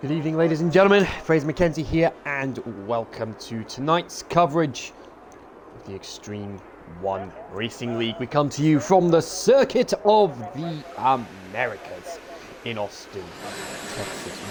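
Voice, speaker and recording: A man speaks at a moderate pace with a fairly high pitch, very wide swings in pitch, big shifts in loudness and long, frequent pauses, over noticeable background noise. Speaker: sim racing commentator. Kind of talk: live commentary. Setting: live stream.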